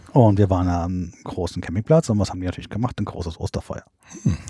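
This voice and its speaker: Somewhat breathy and dark, mellow in tone, a man speaks at a very fast pace with ordinary pitch variation. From central Germany (Hesse, Bad Hersfeld). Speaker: camper. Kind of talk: casual chat. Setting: in a caravan.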